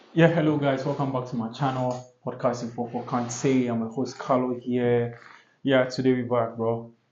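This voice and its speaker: In a room with audible echo, a man with a medium pitch speaks at a moderate pace in a flat monotone. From Ghana. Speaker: podcast host. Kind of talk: casual monologue podcast. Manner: halting, with restarts.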